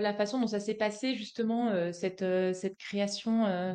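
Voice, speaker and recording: Her dark, mellow tone sits at medium pitch as a woman speaks at a moderate pace with fairly even intonation. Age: 30s. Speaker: company co-founder. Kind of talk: live-stream interview chat. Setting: live video stream. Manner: hesitant, many fillers.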